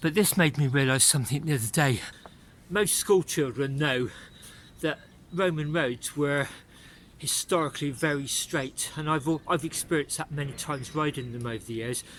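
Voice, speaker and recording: A man with a West Country accent at a fairly high pitch, with ordinary pitch variation and a moderate pace, long, frequent pauses, and a very clean recording with a silent background. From England, Bath. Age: 60s. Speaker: cycling vlogger. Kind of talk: vlog narration while riding. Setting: outdoors on a bike.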